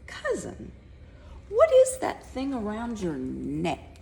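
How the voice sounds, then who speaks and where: Delivered in a put-on character voice, the speech moves at a very slow pace. Clear background noise is present. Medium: read story.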